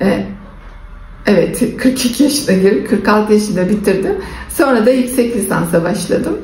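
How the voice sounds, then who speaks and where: A woman speaks at a medium pitch. Noticeable background noise and audible room echo come through. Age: 60s. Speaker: face yoga instructor and vlogger. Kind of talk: casual vlog talk.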